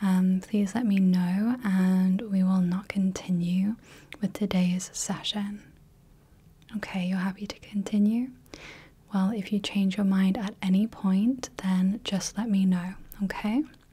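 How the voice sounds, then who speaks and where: Somewhat breathy and dark, mellow in tone, a woman speaks at a fairly slow pace with monotone, flat intonation. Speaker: ASMR creator playing a light clinic practitioner. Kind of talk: soft-spoken role-play personal attention. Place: home room.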